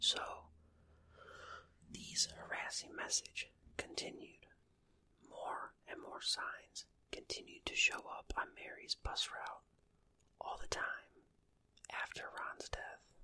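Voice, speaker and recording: The speaker whispers very slowly, with long pauses that come often. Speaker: ASMR true crime storyteller. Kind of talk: ASMR true crime storytelling. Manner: whispered, soft.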